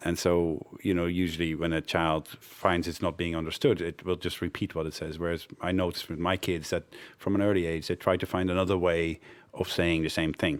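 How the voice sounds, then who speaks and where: Very deep and low, a man's voice moves at a fairly quick pace. His intonation stays monotone and flat. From Netherlands, childhood partly in Cameroon. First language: Dutch. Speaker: development network director. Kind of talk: interview.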